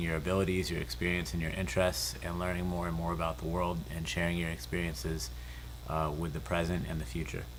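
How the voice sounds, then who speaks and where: A man with a very deep, low pitch and vocal fry, at a fairly quick pace, with audible room echo. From Southern California. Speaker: lens company host. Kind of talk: interview.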